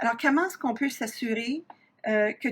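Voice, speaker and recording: A woman talks at a fairly high pitch. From Ontario, Canada (Franco-Ontarian, south-central/southwest Ontario). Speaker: university professor, researcher. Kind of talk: lecture. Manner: frequent hesitations (euh).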